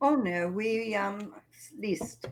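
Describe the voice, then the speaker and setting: This woman speaks with a British accent. Her voice sits at a medium pitch. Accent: British, still present. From England. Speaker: princess, medieval reenactor. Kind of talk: casual interview.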